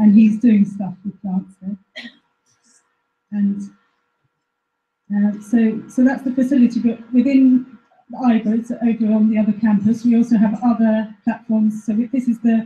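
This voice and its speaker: With a dark, mellow tone and somewhat breathy quality, the voice moves at a moderate pace in a monotone, flat delivery broken by long, frequent pauses. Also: woman, fairly high pitch for a woman. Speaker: researcher at a plant phenotyping facility. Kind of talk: presentation. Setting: live-streamed talk to an audience. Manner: halting.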